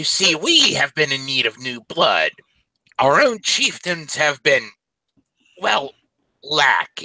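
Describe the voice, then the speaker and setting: A put-on character voice at a fairly slow pace, with long, frequent pauses. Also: man, fairly high pitch for a man. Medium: actual play. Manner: sly, wheedling.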